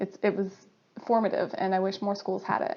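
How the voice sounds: A woman speaks with an American accent at a medium pitch and a moderate pace. Her tone is dark and mellow, with vocal fry.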